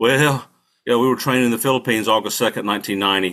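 On a very clean recording with a silent background, a man with a North Carolina accent speaks in a bright, sharp tone at a fairly quick pace with ordinary pitch variation. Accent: Southern US (North Carolina). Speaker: Marine veteran and attorney, political candidate. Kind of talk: interview, casual storytelling.

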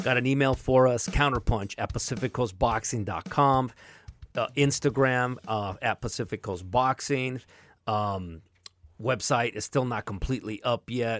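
A man with an American accent speaks at a moderate pace in a medium pitch with ordinary pitch variation. The recording is very clean, with a silent background. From Southern California. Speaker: boxing podcast host. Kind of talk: casual chat about boxing.

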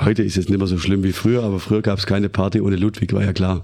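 A voice with vocal fry and a dark, mellow tone, speaking at a very fast pace. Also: man. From Germany, Baden-Württemberg. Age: 40s. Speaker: western riding champion and horse trainer. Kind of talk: casual interview.

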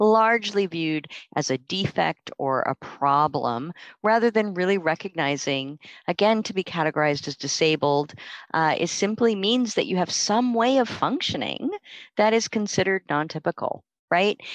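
A woman's unremarkable speaking voice, medium in pitch and moderate in pace, with a dry, close sound with no echo and a quiet background. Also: lively intonation. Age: middle-aged. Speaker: university researcher and professor. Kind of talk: academic interview discussion.

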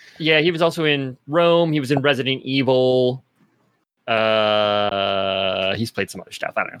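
In a normal speaking voice, a man at medium pitch talks at a moderate pace, with lively intonation and big swings in loudness. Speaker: podcast host. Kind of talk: casual chat.

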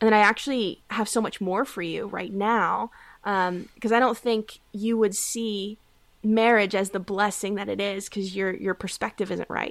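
Recorded very cleanly against a silent background, a woman with a normal speaking voice talks at a moderate pace, medium in pitch, with fairly even intonation. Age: 20s. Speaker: life coach. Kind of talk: casual chat.

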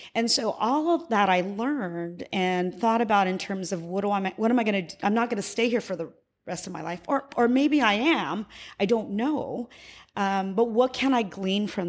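Over a silent background in a very clean recording, a woman talks at a moderate pace with medium pitch and lively intonation. She has a plain, everyday voice. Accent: American. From US, military family moving around. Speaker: former education official. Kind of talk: interview.

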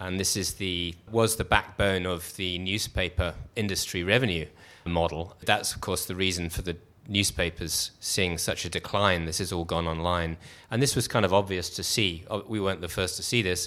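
A man's very deep, low voice with a bright, sharp tone, fairly even intonation and a moderate pace, on a very clean recording with a silent background. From England. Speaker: startup co-founder, investor. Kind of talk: live interview, conversational storytelling. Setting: live event with audience.

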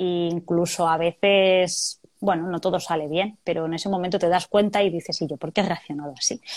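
An ordinary speaking voice, a woman's at fairly low pitch, with fairly even intonation and a fairly quick pace. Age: 40s. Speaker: chemical plant worker. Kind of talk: testimony. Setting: video call.

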